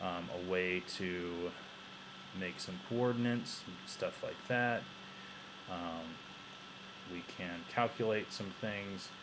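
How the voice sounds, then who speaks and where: Audible room echo surrounds a man with a very deep, low pitch. He speaks at a very slow pace, with fairly even intonation and long, frequent pauses. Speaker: teacher. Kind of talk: tutorial. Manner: halting.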